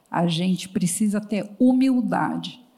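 The woman's fairly slow speech rings with audible room echo. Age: 60s. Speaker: psychologist and HR consultancy founder. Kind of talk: panel talk on stage. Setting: stage with audience.

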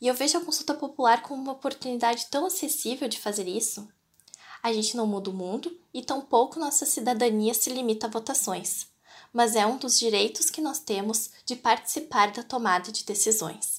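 A woman with a high pitch talks at a moderate pace with ordinary pitch variation, recorded very cleanly against a silent background. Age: 20s. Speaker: voter. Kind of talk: prepared statement.

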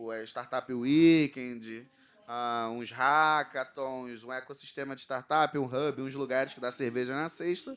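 A man speaks in a Rio de Janeiro accent at medium pitch. His pace is fairly slow. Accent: carioca. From Rio de Janeiro, Brazil. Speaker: panel moderator. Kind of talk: panel discussion. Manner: animated.

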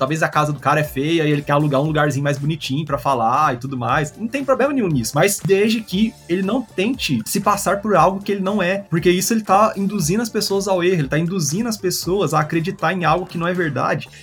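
A high-voiced man rattles along at a very fast pace with hardly any pauses and lively intonation, over noticeable background noise. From Goiânia, Brazil. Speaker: graphic designer and marketer. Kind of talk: casual interview chat.

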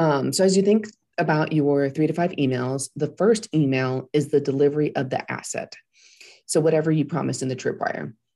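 The voice is dark and mellow with vocal fry, moving at a fairly quick pace with ordinary pitch variation. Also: woman. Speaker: PR firm owner and podcast co-host. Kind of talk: casual business chat. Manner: chatty, many fillers.

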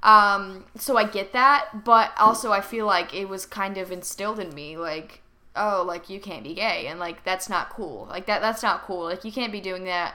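A woman with a bright, sharp tone talks at a moderate pace and medium pitch, with ordinary pitch variation, big swings in loudness and hardly any pauses. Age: 20s. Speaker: podcast host. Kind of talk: casual solo monologue. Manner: casual, profane, chatty.

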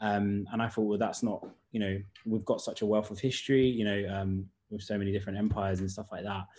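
Speaking with a British accent, a man keeps a fairly low pitch and a monotone, flat intonation. His pace is fairly quick. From UK. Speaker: writer and director. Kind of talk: online panel Q&A.

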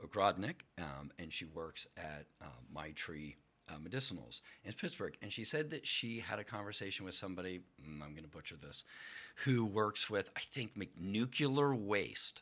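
With a bright, sharp tone and an American accent, a man speaks at a moderate pace with lively intonation. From Pennsylvania. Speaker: sociology professor. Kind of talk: interview. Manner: animated.

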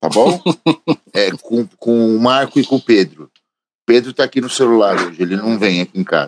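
The speech moves at a moderate pace with lively intonation and long, frequent pauses, in a dry, close sound with no echo. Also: man, medium pitch for a man. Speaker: podcast co-host, musician. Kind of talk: casual chat. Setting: at home.

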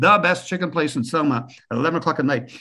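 A man speaks in a bright, sharp tone. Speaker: media professional and university teacher. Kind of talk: casual interview chat. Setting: video call.

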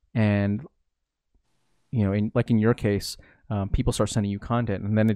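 In an American accent, this voice has a dark, mellow tone, a fairly quick pace, and a dry, close sound with no echo. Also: man, very clean recording, silent background. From US, Filipino American family. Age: 20s. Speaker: blogger and online community creator. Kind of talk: casual interview chat.

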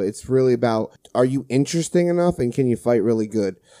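A man's dark, mellow, medium-pitched voice with ordinary pitch variation, at a fairly quick pace in a very clean recording with a silent background. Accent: New Jersey. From New Jersey, Brick Township. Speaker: podcast host, HVAC technician. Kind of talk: casual chat.

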